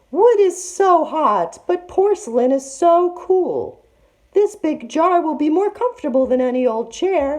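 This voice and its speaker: Extremely high-pitched put-on character voice from a woman, delivered fairly slowly. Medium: read story. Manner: falsely sweet, coaxing.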